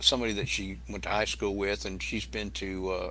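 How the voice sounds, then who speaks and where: A man with an American accent and vocal fry speaks at a moderate pace in a bright, sharp tone. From Massachusetts, Boston area. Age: 60s. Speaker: YouTube cooking channel creator. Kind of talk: casual interview chat. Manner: halting, with many restarts.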